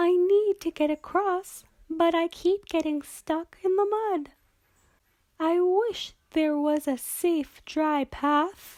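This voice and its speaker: An extremely high-pitched, put-on character voice moving at a very slow pace. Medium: read story.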